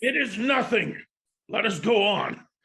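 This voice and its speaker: A raspy, raised and projected put-on character voice, fairly slow in pace, with ordinary pitch variation. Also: man, high pitch for a man. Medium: stage play. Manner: arrogant, scoffing.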